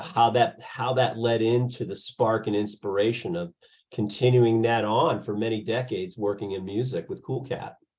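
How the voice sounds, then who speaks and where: In a normal speaking voice, a man of medium pitch talks at a moderate pace. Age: 60s. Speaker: podcast interviewer, music label founder. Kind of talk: casual interview.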